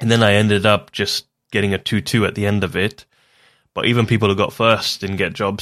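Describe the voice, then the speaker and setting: Very clean recording of a man with an English accent, fairly low pitch, monotone, flat intonation and a fairly quick pace, against a silent background. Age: 30s. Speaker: podcast host, mechanical engineer. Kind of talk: casual chat.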